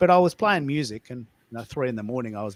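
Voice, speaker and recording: Very fast, lively speech from a man with an Australian accent, medium pitch and a dry, close sound with no echo. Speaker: live audio show host. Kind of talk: live audio room chat. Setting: live online audio call. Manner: animated.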